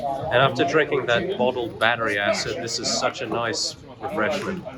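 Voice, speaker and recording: A man speaks at a moderate pace with lively intonation. Noticeable background noise can be heard. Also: fairly high pitch for a man. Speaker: vlogger, game development student. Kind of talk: travel vlog narration.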